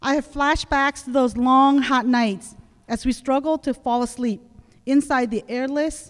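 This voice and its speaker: A woman with a Southeast Asian accent at a fairly slow pace, quiet background behind her. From Laos, raised in the US. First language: Hmong. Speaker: conference speaker. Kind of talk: prepared speech. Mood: reflective, earnest. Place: hall. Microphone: podium.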